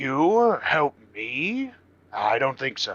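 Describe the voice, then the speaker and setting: A man does a loud, booming put-on character voice. His pitch sits fairly high for a man. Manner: arrogant, dismissive.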